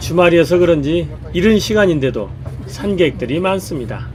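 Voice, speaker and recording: Music in the background behind a man's high-pitched voice at a moderate pace. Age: 70s. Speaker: hiker. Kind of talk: travel vlog narration.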